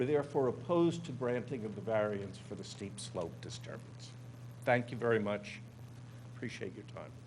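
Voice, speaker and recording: A man speaks with vocal fry and big swings in loudness. Audible room echo surrounds his voice. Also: medium pitch for a man, ordinary pitch variation, moderate pace. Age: 70s. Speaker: neighbor testifying at public hearing. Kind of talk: public hearing testimony.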